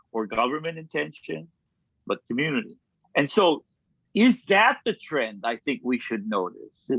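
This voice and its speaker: A man with a Hawaiian accent speaks with vocal fry and very wide pitch swings. He leaves long, frequent pauses, and the sound is dry and close with no echo. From Kauai, Hawaii. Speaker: kahuna, healer and teacher. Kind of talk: interview answer.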